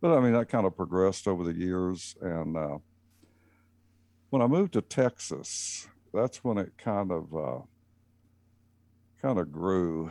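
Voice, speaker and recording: A man with a Southern US accent speaks at a moderate pace in a very deep, low voice with a dark, mellow tone. The recording is very clean, with a silent background. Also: dry, close sound with no echo. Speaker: racing team owner, electrical engineer. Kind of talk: casual interview.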